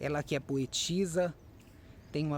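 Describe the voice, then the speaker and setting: Male voice, medium tempo, pitch moving in a typical way. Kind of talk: casual talk to camera.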